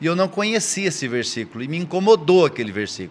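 A man with a high pitch shows very wide pitch swings. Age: 60s. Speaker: church elder and mentor. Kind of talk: casual chat.

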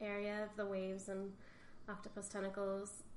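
A woman talks at a moderate pace. Room echo is audible. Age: 30s. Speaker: painter. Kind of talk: interview.

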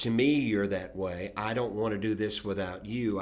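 A man is speaking here. He keeps a moderate pace with ordinary pitch variation. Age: 60s. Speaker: podcast co-host. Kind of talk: casual chat.

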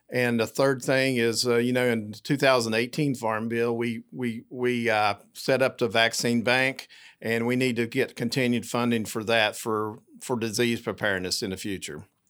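Speaking at a moderate pace with hardly any pauses, a man with an Appalachian accent uses a medium pitch and fairly even intonation. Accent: Southern Appalachian American. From US South, southwest Virginia. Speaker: cattle producer and policy chair. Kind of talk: interview. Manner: halting with many fillers.

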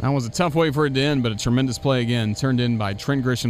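Speaking in an animated tone, a man keeps a medium pitch with ordinary pitch variation. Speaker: baseball radio broadcaster. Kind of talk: live sports commentary, play-by-play. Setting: press box at the ballpark. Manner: animated, fast-paced call of the action.

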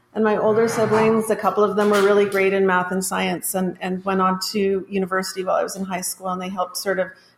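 A woman rattles off words at a very fast pace in a monotone, flat intonation at medium pitch, with noticeable background noise behind her. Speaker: school assistant principal. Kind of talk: casual chat.

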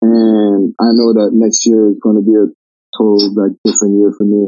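A man talks in a relaxed tone with a French Canadian accent. His voice sits at medium pitch with monotone, flat intonation. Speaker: college basketball player. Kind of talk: casual interview.

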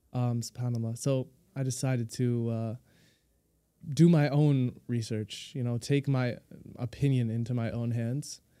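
This man's voice sits at a medium pitch, with a dark, mellow tone, a fairly slow pace and fairly even intonation. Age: young. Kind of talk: interview.

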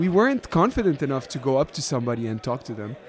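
Against noticeable background noise, a man speaks with a Lebanese accent at a fairly quick pace. His pitch swings very widely. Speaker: electronic musician. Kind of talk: casual interview chat. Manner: animated, casual.

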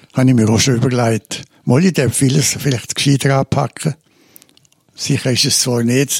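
A man with a Swiss accent sounds somewhat breathy, with fairly even intonation and very even loudness. The sound is dry and close with no echo. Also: medium pitch for a man, moderate pace. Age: 80s+. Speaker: retired psychotherapist and former priest. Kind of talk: interview. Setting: his office, seated in armchairs.

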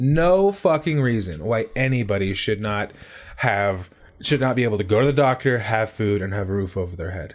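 An unremarkable speaking voice from a man, with lively intonation at a moderate pace. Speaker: podcast host. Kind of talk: casual banter, gaming and guns chat.

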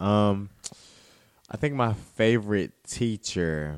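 A man with an Alabama accent, very deep and low in pitch, lively intonation, on a very clean recording with a silent background. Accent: Southern US (Alabama). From US South, rural Alabama. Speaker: teacher. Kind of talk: casual chat.

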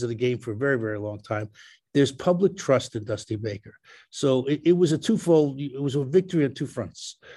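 A man speaks at a fairly quick pace with a dark, mellow tone, medium pitch, and ordinary pitch variation against a quiet background. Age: 70s. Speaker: baseball analyst. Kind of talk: casual chat. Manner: halting.

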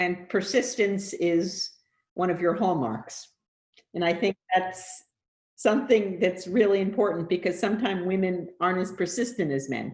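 Pitched at a medium level, this woman's voice varies in pitch in an ordinary way. She has an unremarkable speaking voice and keeps a moderate pace. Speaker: podcast host. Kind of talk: interview.

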